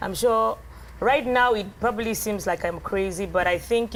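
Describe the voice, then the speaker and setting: A woman's voice with vocal fry, ordinary pitch variation and a fairly quick pace. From Cameroon. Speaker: blogger and engineer. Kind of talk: TV interview. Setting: TV studio set. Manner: loud.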